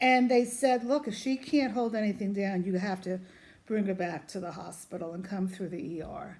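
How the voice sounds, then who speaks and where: With a New York accent, a woman speaks at a moderate pace and medium pitch, her intonation lively. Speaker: vlogger, mother of cancer patient. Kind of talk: casual vlog talk to camera. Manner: loud; animated.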